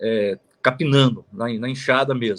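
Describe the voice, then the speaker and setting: A man is speaking. He talks at a fairly slow pace. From Minas Gerais, Zona da Mata (Manhumirim). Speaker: lawyer. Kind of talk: interview, life story. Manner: halting, many fillers.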